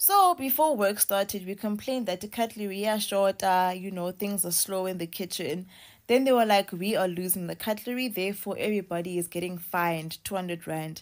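Against a quiet background, a woman talks at a fairly quick pace with ordinary pitch variation. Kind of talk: casual vlog chat, complaint story. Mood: frustrated, indignant. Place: home room. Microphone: phone near.

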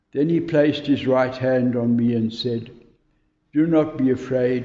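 The man's intonation stays fairly even, with audible room echo around his voice. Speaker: scripture reader. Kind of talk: bible reading. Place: church. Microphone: camera far.

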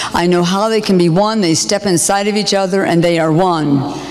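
A woman talks at a moderate pace with ordinary pitch variation, amid noticeable background noise and audible room echo. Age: 60s. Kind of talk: sermon-style testimony.

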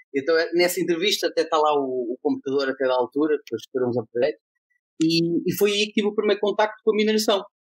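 Talking at a very fast pace, a man uses a high pitch and lively intonation. The sound is dry and close, with no echo. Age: 30s. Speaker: blockchain association president. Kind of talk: casual chat.

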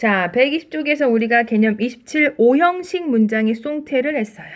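Here a woman talks with lively intonation. The recording is very clean, with a silent background. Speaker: English teacher. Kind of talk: lecture. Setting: screen recording.

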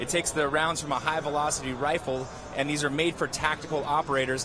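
Over music in the background, a man talks at a fairly quick pace in an animated tone, the sound dry with no echo. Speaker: field reporter. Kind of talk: live sports commentary. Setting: on the field. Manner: animated, reporting from the field. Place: stadium. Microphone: handheld.

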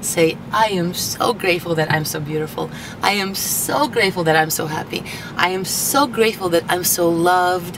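In a dry sound with no echo, a woman with a fairly low pitch and ordinary pitch variation speaks over noticeable background noise. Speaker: motivational vlogger. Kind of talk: casual vlog chat. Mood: cheerful, upbeat. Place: car. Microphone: camera far.

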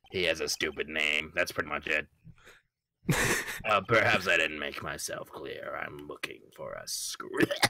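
In a put-on character voice, a man sounds raspy and talks at a moderate pace. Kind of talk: comic voice acting. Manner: curt, dismissive.

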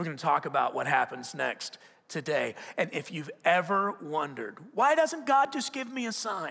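This man speaks in a raised, projected voice with a high pitch and very wide pitch swings. His pace is moderate, and the background is quiet. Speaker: preacher. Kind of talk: sermon. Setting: church. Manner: conversational, animated, with repeated restarts and rhetorical questions. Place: church.

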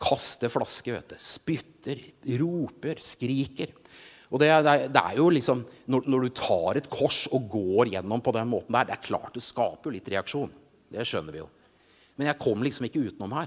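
With an animated tone and big swings in loudness, a man speaks at a moderate pace and medium pitch with ordinary pitch variation against a quiet background. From Norway, Jessheim (Romerike); Norway. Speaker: illustrator and preacher; preacher. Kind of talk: sermon. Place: stage. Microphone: handheld.

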